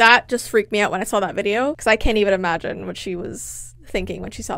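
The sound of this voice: Normal rises and falls in pitch across an unforced reading voice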